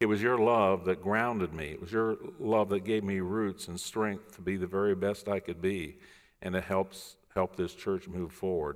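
A man speaks at a moderate pace with a fairly low pitch, in a normal speaking voice. The recording is very clean, with a silent background. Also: fairly even intonation. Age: 60s. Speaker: pastor. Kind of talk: sermon. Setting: church.

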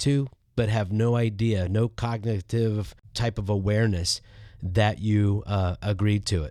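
With an unremarkable speaking voice, a man talks at a fairly slow pace, his fairly low pitch showing ordinary variation. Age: 50s. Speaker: podcast co-host, church leader. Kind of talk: casual conversation about church. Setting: remote recording from his office.

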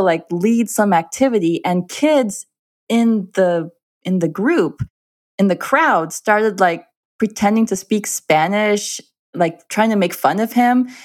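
Speaking at a fairly slow pace with an American accent, a woman uses a normal speaking voice with lively intonation, medium pitch and very even loudness. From Minnesota, US Midwest. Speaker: author. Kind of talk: interview. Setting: online studio.

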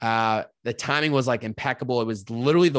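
In a plain, everyday voice with an American accent, someone talks at a fairly quick pace, the sound dry and close with no echo and a quiet background. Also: man. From Massachusetts, US. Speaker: podcaster. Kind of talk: casual interview chat.

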